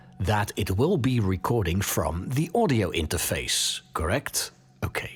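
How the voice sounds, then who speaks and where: Speaking in a Dutch accent at a fairly slow pace, a man lets his pitch swing very widely. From Netherlands. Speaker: podcast host. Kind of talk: tutorial. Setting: home studio. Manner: casual, with hesitations.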